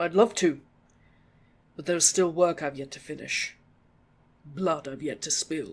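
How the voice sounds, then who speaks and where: A man uses a put-on character voice that is raspy and growling, at a fairly high pitch. He speaks at a moderate pace. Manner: growling, menacing.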